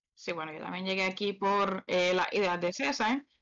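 A woman at a moderate pace and medium pitch, in an ordinary speaking voice. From Puerto Rico, Canóvanas. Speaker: podcast co-host, polyglot. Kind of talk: casual chat.

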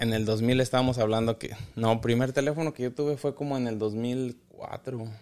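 A man with a plain, everyday voice speaks at a moderate pace with hardly any pauses. His pitch is medium and his intonation fairly even. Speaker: podcast co-host. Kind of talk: casual chat. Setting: home garage.

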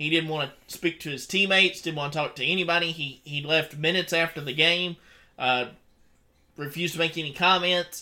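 Delivered at a fairly quick pace, the speech has a bright, sharp tone and fairly even intonation in a Southern US accent. The recording is very clean, with a silent background. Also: man, fairly high pitch for a man. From Mississippi. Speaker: sports radio host, former high school coach. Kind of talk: casual chat.

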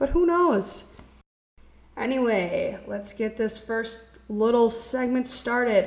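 A woman talks at a fairly slow pace. Her pitch is fairly high and her intonation lively. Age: 20s. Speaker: podcast host. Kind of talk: casual monologue; true crime storytelling.

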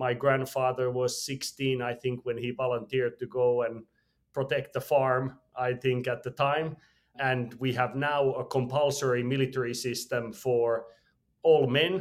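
A man with a Finnish accent talks at a fairly slow pace in a medium pitch, his intonation flat and monotone. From Finland. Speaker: entrepreneur and mountaineer. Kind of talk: interview.

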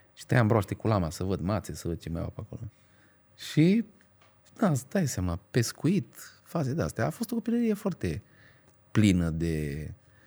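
A man talks at a moderate speed, recorded very cleanly against a silent background. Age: 40. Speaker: stand-up comedian. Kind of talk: casual chat. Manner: halting, many filler sounds.

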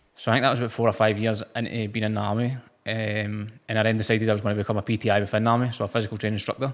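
Very fast speech in a Lanarkshire accent, monotone and flat, on a very clean recording with a silent background. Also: man, fairly low pitch for a man. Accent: Scottish (Lanarkshire). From Scotland, Motherwell. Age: 20s. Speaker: personal trainer and bodybuilder. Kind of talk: casual interview.

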